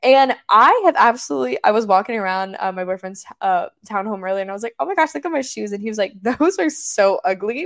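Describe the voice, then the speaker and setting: With a dry, close sound and no echo, a woman talks fairly quickly in an animated tone, her pitch swinging very widely and hardly any pauses between words. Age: 20s. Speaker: podcast co-host. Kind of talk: casual chat.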